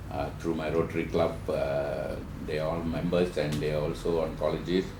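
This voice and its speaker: Amid audible room echo and noticeable background noise, a man talks with a very deep, low pitch and fairly even intonation. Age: 60s. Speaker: cancer survivor and counselor. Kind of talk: personal testimony in a webinar. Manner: halting, frequent filler words.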